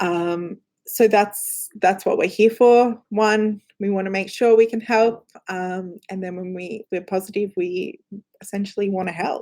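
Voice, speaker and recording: A woman with an Australian accent, medium pitch, dark and mellow tone, flat monotone delivery, fairly slow pace and big swings in loudness. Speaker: company representative answering viewer questions. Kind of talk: live Q&A stream. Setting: live stream in front of cameras. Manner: casual, lots of filler words.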